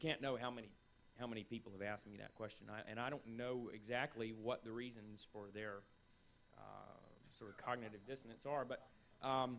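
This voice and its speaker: The speech comes in a strong Southern US accent with fairly even intonation and long, frequent pauses. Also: man, medium pitch for a man. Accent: strong Southern drawl. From North Carolina, US South. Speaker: writer and scholar of the Middle East. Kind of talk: panel discussion.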